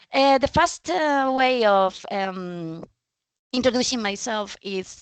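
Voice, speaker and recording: In a Spanish accent, a woman talks at a fairly slow pace with lively intonation. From Spain. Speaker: data trainer and speaker. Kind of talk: presentation. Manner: halting, many fillers.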